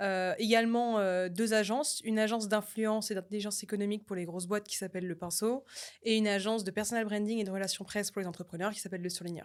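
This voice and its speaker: A very fast woman's voice at a medium pitch, with fairly even intonation. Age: 20s. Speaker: media entrepreneur. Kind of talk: podcast interview. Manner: many fillers and hesitations.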